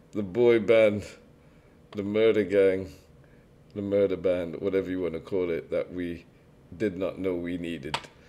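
Long pauses come often, interrupting speech delivered at a moderate speed. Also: man, very deep, low pitch for a man, fairly even intonation. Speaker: reaction video creator. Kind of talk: casual reaction commentary. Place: home room.

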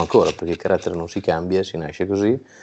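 Light background noise sits behind a man whose pitch is very deep and low. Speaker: regional rugby federation president and winemaker. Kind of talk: interview. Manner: hesitant, many fillers. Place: home room. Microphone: earbuds.

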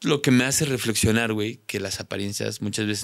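A man with a Mexican accent talks at a fairly quick pace and a fairly low pitch. The background is quiet. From Mexico. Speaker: content creator, prank video maker; content creator. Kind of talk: casual chat. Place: studio. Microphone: studio mic.

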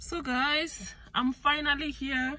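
A woman with a South African accent.

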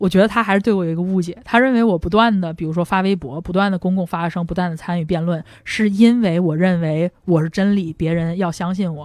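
At a very fast pace, a woman speaks in a fairly low pitch with fairly even intonation. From northern China, Langfang (Hebei). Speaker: debater. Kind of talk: casual chat. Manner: hesitant, many filler sounds.

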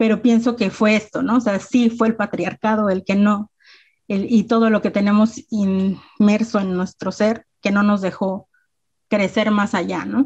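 A woman speaks in a medium-pitched, somewhat breathy voice with flat, monotone intonation. The background is quiet. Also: fairly slow pace. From Mexico, Mexico City area (Ecatepec); Mexico City, Mexico. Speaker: rapper and self-defense instructor; panelist. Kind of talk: presentation with slides. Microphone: video call.

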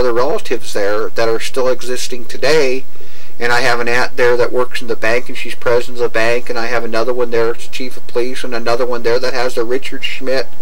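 A man talks at a very fast pace. His loudness stays very even and his intonation is monotone and flat. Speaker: interviewee. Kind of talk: interview answer.

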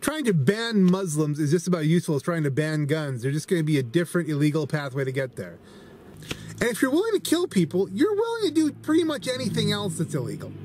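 A man's very fast speech, dry with no echo, over light background noise. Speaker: vlogger. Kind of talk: casual opinion vlog commentary. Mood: earnest, explanatory. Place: car. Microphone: phone near.

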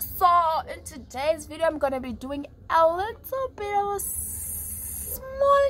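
The speech moves at a very slow pace, with faint music in the background. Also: woman. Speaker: vlogger. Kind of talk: casual vlog chat. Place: home room. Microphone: phone near.

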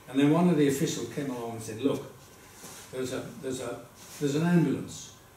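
A man at a very fast pace with ordinary pitch variation, with audible room echo and light background noise. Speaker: Holocaust survivor giving a talk. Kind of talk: talk to an audience telling personal story. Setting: stage with audience at a school event. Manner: humorous, engaging storyteller. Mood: engaging, occasionally humorous. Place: classroom. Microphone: camera far.

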